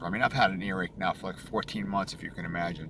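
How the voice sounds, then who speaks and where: Noticeable background noise beneath a very deep, low male voice. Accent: American. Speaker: throat cancer survivor vlogger. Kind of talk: casual video diary. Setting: in a car.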